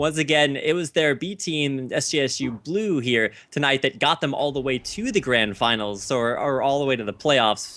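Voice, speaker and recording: A man talks in a bright, sharp tone. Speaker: esports caster. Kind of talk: live commentary. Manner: fast.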